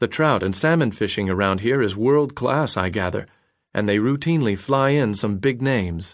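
This man has an unremarkable speaking voice at a medium pitch, with lively intonation and very even loudness. He talks at a moderate pace against a quiet background. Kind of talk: dramatic audiobook narration of a letter, read aloud. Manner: earnest, wistful, heartfelt; measured, reflective, sincere.

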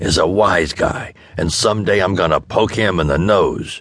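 A man's put-on character voice, raspy and fairly low, at a moderate pace with fairly even intonation.

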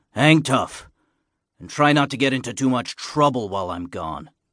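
A man's put-on character voice at a medium pitch, with lively intonation, big swings in loudness and a moderate pace.

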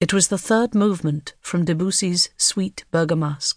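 Her voice carries a somewhat breathy quality. The woman talks at a moderate pace. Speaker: audiobook narrator. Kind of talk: dramatic audiobook narration of a thriller, read aloud. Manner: hushed, tense, suspenseful pacing with ominous, measured delivery.

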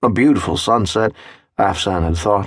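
A man with an ordinary speaking voice and ordinary pitch variation, recorded in a dry, close sound with no echo. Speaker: audiobook narrator. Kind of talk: scripted audiobook narration, dramatic third-person storytelling. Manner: measured, atmospheric, unhurried, descriptive pacing.

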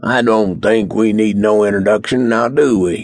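A man's gruff, put-on character voice, fairly low in pitch, with fairly even intonation at a moderate pace. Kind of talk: rough, colloquial. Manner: menacing, taunting.

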